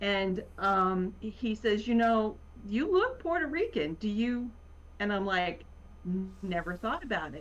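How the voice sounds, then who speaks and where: With a slight Virginia accent, a woman talks at a fairly slow pace in a fairly high pitch with lively intonation. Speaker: writer. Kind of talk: casual chat.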